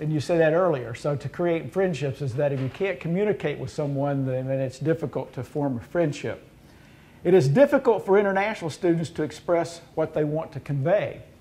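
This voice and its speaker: A man with a Southern US accent, fairly high in pitch and dark and mellow in tone, at a fairly quick pace with ordinary pitch variation. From US South. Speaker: university administrator. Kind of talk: roundtable discussion. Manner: halting.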